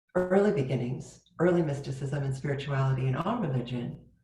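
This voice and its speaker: A woman's dark, mellow, somewhat breathy voice with lively intonation at a moderate pace, in audible room echo. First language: Turkish. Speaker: spiritual teacher. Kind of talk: sermon.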